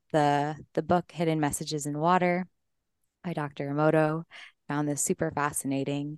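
Someone with an American accent talks at a fairly quick pace, the sound dry and close with no echo against a quiet background. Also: woman. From Colorado. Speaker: breathwork coach and entrepreneur. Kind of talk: interview conversation.

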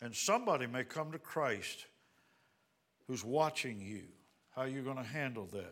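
An American accent at a moderate pace, broken by long, frequent pauses. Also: man, medium pitch for a man. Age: 60s. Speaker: visiting pastor. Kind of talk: sermon. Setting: church.

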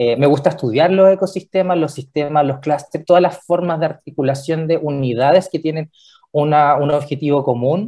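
At a moderate pace, a man speaks with a fairly high pitch, a dark, mellow tone, and ordinary pitch variation. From Chile, Valparaíso. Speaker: regional director of a public development agency. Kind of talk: radio interview.

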